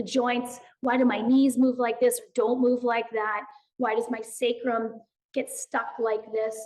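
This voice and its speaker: Loud woman's voice at a high pitch. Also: fairly slow pace. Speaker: movement educator and author. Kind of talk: podcast interview. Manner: animated.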